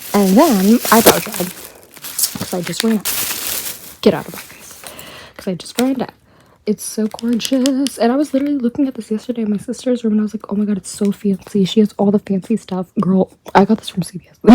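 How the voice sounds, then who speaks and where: Her voice fairly high, a woman speaks fairly quickly with ordinary pitch variation and big swings in loudness, the sound dry and close with no echo but with noticeable background noise. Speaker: YouTuber. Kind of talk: unboxing haul vlog. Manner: whispering, quiet; animated.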